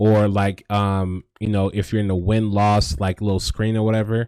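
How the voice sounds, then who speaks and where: At a moderate pace and a fairly low pitch, a man speaks in a very clean recording with a silent background and a dry, close sound with no echo. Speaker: video game tutorial creator. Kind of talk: tutorial. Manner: halting, with many fillers; casual.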